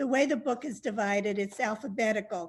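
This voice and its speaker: With an American accent, a woman with a fairly high pitch speaks somewhat breathily, her pitch varying in an ordinary way. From US South, Miami Beach, Florida. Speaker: travel writer. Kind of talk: webinar talk and reading aloud. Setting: video call webinar.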